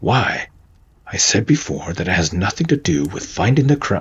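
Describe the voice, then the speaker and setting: A man puts on a gruff character voice at a fairly low pitch. He keeps a moderate pace, with very wide pitch swings. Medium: solo performance. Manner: gruff, angry.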